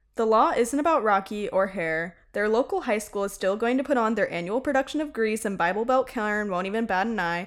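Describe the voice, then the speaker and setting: Speaking with an American accent, a woman uses a fairly high pitch. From US South, Tennessee. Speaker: theater performer and student. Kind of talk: casual chat.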